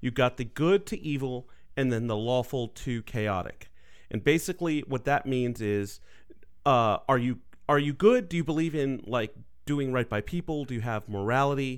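A man with an unremarkable speaking voice talks at a moderate pace and medium pitch, with ordinary pitch variation. The recording is very clean, with a silent background. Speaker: player. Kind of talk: tabletop roleplaying game session, casual.

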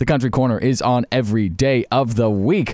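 A man's upbeat-toned voice. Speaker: radio host. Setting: studio.

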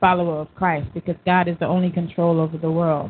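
A woman with an American accent at a fairly low pitch and a moderate pace. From Sumter, South Carolina. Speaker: panelist. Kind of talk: live talk radio discussion.

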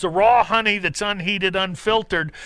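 This man talks at a moderate pace with a bright, sharp tone and an American accent. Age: 60s. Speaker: radio host, naturopath. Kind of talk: live call-in radio show. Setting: studio.

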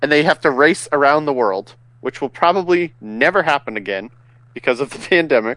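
Very wide pitch swings at a moderate pace, in a dry, close sound with no echo. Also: man. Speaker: podcast co-host. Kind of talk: casual banter.

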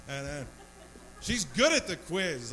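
A man's raised, projected voice with very wide pitch swings at a moderate pace, amid noticeable background noise and audible room echo. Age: 40s. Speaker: stand-up comedian. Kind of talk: stand-up. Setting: bar stage with small audience. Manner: halting, repeats words.

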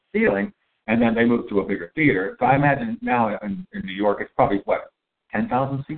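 A man at medium pitch, very fast pace, with very wide pitch swings. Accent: Pittsburgh. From Pittsburgh, US. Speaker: podcast host and chef. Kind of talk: casual chat. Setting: coffee shop, recorded live.

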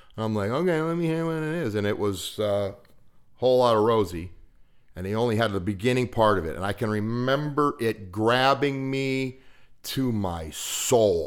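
With an American accent, a man talks at a moderate pace in an ordinary speaking voice, his medium pitch carried by lively intonation. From western Pennsylvania. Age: 50s. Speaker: recovering alcoholic, former auto mechanic. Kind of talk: casual storytelling chat.

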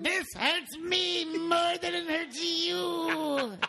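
Someone puts on a high-pitched character voice and speaks very slowly over clear background noise. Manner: menacing.

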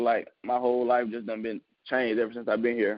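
A man speaks at a very fast pace. His voice sits at a medium pitch. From Mississippi. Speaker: football prospect. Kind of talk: interview.

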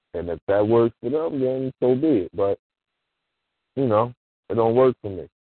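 A man speaks at a medium pitch with ordinary pitch variation, leaving long, frequent pauses. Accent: American. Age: 40s. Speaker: former school teacher and youth mentor. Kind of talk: call-in radio discussion.

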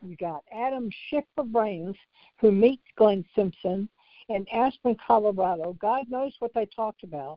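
A woman with an ordinary speaking voice talks at a fairly slow pace and fairly high pitch, with lively intonation and big swings in loudness. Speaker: caller. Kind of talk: casual call-in chat.

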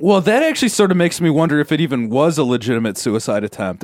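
A very fast-talking man with an American accent on a very clean recording with a silent background. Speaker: podcast co-host and producer. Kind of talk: casual chat.

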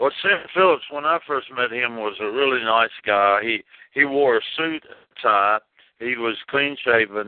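A man's medium-pitched voice, ordinary pitch variation, and a fairly slow pace. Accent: Tennessee. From Jackson, Tennessee. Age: 70s. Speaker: rockabilly singer. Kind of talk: interview. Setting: phone call. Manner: halting.

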